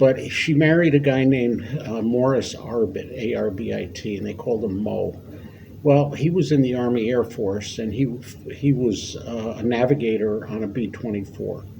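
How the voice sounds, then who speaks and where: A man speaks at a moderate pace with an American accent, his pitch medium and its variation ordinary. There is audible echo from the room. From New York State, US. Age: 70s. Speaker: war veteran. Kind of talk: oral history interview. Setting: library. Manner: halting.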